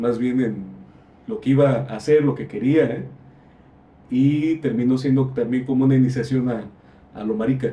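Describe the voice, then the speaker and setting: A man speaks with a dark, mellow tone at a medium pitch, somewhat breathy. His intonation stays fairly even, broken by long, frequent pauses. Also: moderate pace. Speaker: visual artist. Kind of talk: casual discussion. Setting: library. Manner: halting.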